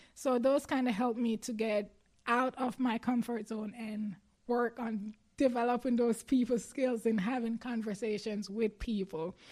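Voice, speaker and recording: A woman with a Jamaican accent, fairly high in pitch, at a moderate pace, with fairly even intonation. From Jamaica, Clarendon parish. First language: Jamaican Patois. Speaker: athlete. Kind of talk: interview.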